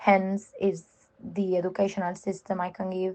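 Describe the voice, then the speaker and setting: A woman speaks with a Spanish accent. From Spain. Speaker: contributor. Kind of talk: informal talk.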